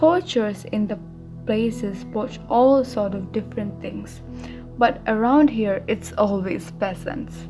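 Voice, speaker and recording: A woman at a very slow pace with music in the background. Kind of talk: audiobook narration of a novel, bedtime story. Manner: soft-spoken, relaxing.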